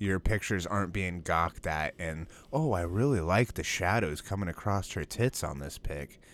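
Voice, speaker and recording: Very deep and low, this man's voice moves at a moderate pace with ordinary pitch variation and hardly any pauses. The recording is very clean, with a silent background. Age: 20s. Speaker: podcast co-host. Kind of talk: casual chat.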